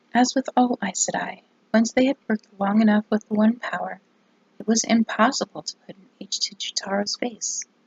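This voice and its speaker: Using an unremarkable speaking voice, a woman talks at a moderate pace with a fairly high pitch and fairly even intonation. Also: big swings in loudness. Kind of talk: ASMR whispered book reading.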